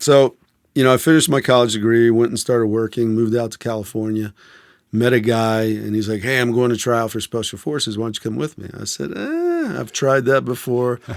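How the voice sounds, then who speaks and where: A man with an American accent has an ordinary speaking voice at a medium pitch, with fairly even intonation and a fairly quick pace. The recording is very clean, with a silent background. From Maryland, outside Washington DC (Silver Spring). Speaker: former Green Beret. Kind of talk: interview storytelling. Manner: casual, with fillers and repetitions.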